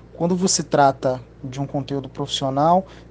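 A man speaks with a fairly high pitch and ordinary pitch variation. Noticeable background noise sits behind him. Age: 30s. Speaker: audiovisual production business owner. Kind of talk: interview. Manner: halting, many fillers and repetitions.

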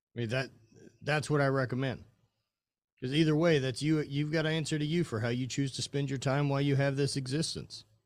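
A man with an unremarkable speaking voice and a fairly high pitch talks at a fairly quick pace. His intonation is fairly even and the recording very clean with a silent background. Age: 40s. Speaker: clothing company owner and former highland games athlete. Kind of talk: casual interview chat.

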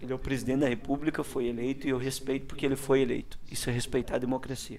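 A man's medium-pitched voice moves along at a very fast pace. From Paraná, Brazil (Ponta Grossa). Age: 30s. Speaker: politician. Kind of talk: casual interview.

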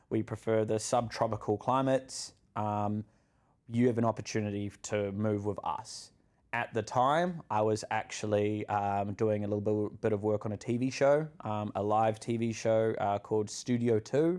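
The speaker has a New Zealand accent and fairly even intonation at a moderate pace. It's a very clean recording with a silent background. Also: man, fairly low pitch for a man. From New Zealand, Auckland. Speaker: content creator. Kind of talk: podcast interview, personal story.

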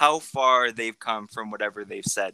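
This man's voice has a bright, sharp tone. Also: dry, close sound with no echo. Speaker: podcast host. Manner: says some words slowly because of the lisp; casual, uses "like" often.

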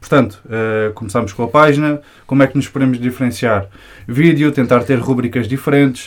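A man's medium-pitched speech, in a plain, everyday voice, shows ordinary pitch variation. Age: 20s. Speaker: hip-hop media creator. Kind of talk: casual chat.

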